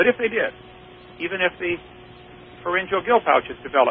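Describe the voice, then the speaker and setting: With an American accent, a high-pitched man talks very fast over noticeable background noise. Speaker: creationist lecturer and radio host. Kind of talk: radio call-in debate. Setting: radio studio.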